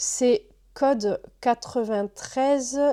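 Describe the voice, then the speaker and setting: Her tone dark and mellow, a woman speaks with ordinary pitch variation. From southern France. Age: 30s. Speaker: book YouTuber. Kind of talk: casual talk to camera.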